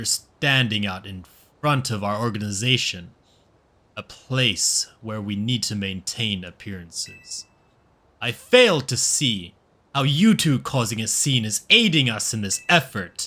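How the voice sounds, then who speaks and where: A man's put-on character voice, medium in pitch, at a fairly slow pace with ordinary pitch variation. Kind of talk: formal, stiff. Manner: stern, reproachful.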